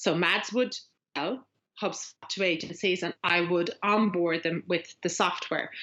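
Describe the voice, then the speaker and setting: In a strong Irish accent, a woman speaks with a fairly low pitch and a bright, sharp tone. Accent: Irish, strong and getting stronger. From Ireland. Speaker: agency growth coach. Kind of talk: podcast interview. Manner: hesitant, many fillers.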